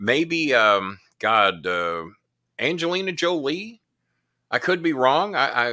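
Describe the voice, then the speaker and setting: A man with a bright, sharp tone and fairly high pitch speaks at a very slow pace, his pitch swinging very widely between long, frequent pauses. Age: 60s. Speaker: live show host. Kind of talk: casual chat. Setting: live stream.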